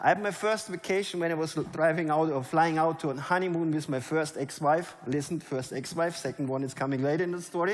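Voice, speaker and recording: With a German accent, a man talks at a very fast pace in a fairly high pitch with ordinary pitch variation, amid audible room echo and noticeable background noise. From Germany. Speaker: network marketing leader. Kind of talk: motivational speech. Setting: stage with audience. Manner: animated.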